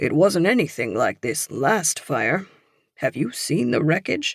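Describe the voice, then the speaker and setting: Putting on a raspy character voice, a man speaks fairly slowly at a fairly high pitch with very wide pitch swings, the sound dry and close with no echo. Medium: read story. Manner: folksy, soothing.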